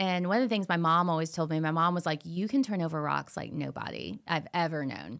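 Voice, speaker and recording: In a very clean recording with a silent background, a woman with a fairly low pitch and ordinary pitch variation uses an ordinary speaking voice. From Florida. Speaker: TV host and actress. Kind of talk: casual interview chat.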